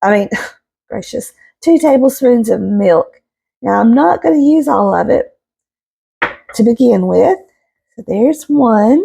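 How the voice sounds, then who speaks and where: With a Southern US accent, a woman speaks at a fairly slow pace, leaving long, frequent pauses. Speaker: home cook, homesteading channel host. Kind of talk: casual cooking tutorial to camera. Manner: warm, chatty.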